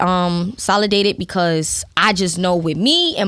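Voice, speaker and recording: A woman speaks with a strong Brooklyn accent. Her tone is bright and sharp. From Brooklyn, New York. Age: young. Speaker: rapper. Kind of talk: casual interview chat. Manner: casual, conversational.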